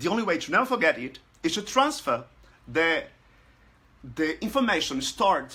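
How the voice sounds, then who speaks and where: The voice has a bright, sharp tone and a Portuguese accent. Its pitch swings very widely. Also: man. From Brazil. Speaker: language learning group administrator. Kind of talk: casual talk to camera. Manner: halting, many fillers.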